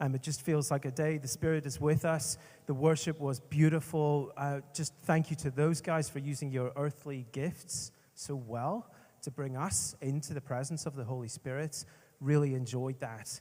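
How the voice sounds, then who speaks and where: Fairly high in pitch, a man speaks in a Northern Irish accent with a somewhat breathy, dark, mellow tone. The recording is very clean with a silent background. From Northern Ireland. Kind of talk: conference talk. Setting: stage with audience. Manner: slow at first, speeding up later; animated.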